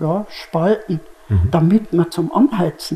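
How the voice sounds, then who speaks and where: Very slowly, a woman speaks. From Germany. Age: 80s+. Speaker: contemporary witness. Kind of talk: interview answer. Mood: calm, reminiscing. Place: studio. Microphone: lapel.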